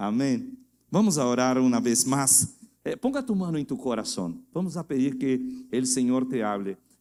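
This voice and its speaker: The speaker has a Portuguese accent and a dark, mellow tone. Delivery is fairly slow, with lively intonation. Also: man, medium pitch for a man. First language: Portuguese (speaking Spanish). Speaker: guest pastor. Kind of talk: sermon. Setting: church. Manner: halting.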